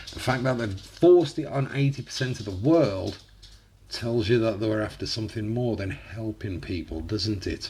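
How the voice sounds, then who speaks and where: Against noticeable background noise, a man talks at a moderate pace in a medium pitch with ordinary pitch variation. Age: 30s. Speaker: YouTuber reacting to music. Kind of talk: reaction video commentary. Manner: animated.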